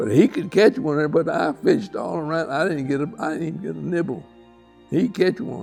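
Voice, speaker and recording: Lively intonation moves at a fairly quick pace over music in the background. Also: man, high pitch for a man. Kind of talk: interview answer.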